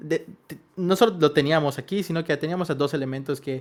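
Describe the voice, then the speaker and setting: A man talks at a fairly quick pace in a Yucatecan accent. His pitch is fairly high, with ordinary variation. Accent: Yucatecan Spanish, comes out at times. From Yucatán, Mexico (Mérida). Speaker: podcast co-host, composer. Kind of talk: casual podcast chat. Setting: home studio.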